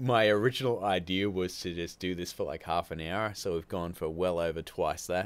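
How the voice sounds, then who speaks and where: With an Australian accent, a man speaks at a very deep, low pitch, moderate pace and fairly even intonation, with hardly any pauses. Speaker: YouTube filmmaking channel host. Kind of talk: live stream chat. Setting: live stream. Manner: casual, chatty.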